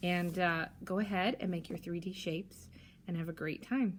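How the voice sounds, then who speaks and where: A woman speaks at a moderate pace with a medium pitch. Her voice is somewhat breathy. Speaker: primary school teacher. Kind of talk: tutorial. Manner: casual, with fillers.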